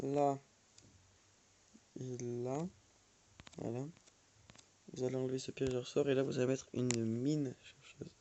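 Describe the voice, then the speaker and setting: This man talks at a fairly slow pace. His intonation stays monotone and flat. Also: medium pitch for a man. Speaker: gaming youtuber. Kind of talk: gameplay tutorial. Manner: hesitant, many fillers.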